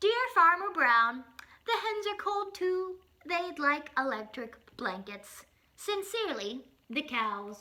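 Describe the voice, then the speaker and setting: Putting on a character voice, a woman speaks in a raised, projected voice at an extremely high pitch, with very wide pitch swings and a fairly slow pace. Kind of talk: children's picture-book reading. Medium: read story.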